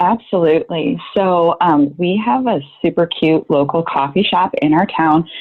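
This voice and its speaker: The speaker goes at a fairly slow pace. Pitch variation is ordinary. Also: woman. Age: 30s. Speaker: working mother. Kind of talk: casual chat.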